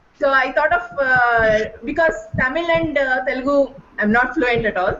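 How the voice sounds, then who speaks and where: Against noticeable background noise, a woman speaks at a high pitch and a moderate pace, with ordinary pitch variation and very even loudness. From India, Karnataka (Bangalore). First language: Kannada. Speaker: volunteer online teacher. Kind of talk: sharing experience in online panel. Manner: halting, many fillers.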